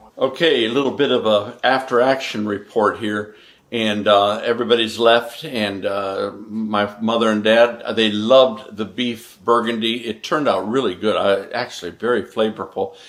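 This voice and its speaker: This is an ordinary speaking voice at a moderate pace. Its intonation is fairly even, with hardly any pauses. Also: man, medium pitch for a man. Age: 60s. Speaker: home cook on cooking channel. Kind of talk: casual recap to camera; cooking tutorial. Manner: casual, folksy.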